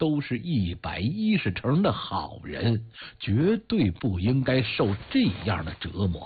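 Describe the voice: Someone reads aloud in a plain way.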